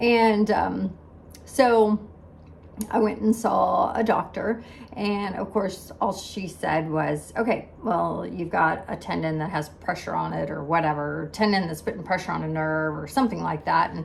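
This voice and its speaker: Noticeable background noise sits under speech that goes at a fairly slow pace. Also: woman. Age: 60s. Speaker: health vlogger. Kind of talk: casual chat. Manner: animated.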